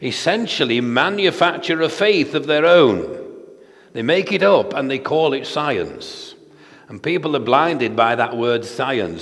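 A fairly slow man's voice with very wide pitch swings. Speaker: preacher. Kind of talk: sermon. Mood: earnest, argumentative. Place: church. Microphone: headset.

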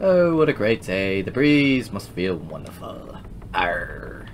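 Putting on a character voice at medium pitch, a man speaks at a fairly slow pace with clear background noise. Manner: cheerful.

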